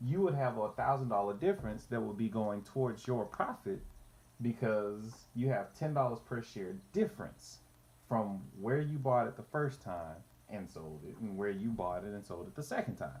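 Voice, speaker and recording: Lively in intonation, a man uses a normal speaking voice at a medium pitch and moderate pace, with big swings in loudness. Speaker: finance youtuber. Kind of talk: tutorial. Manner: casual, repetitive false starts.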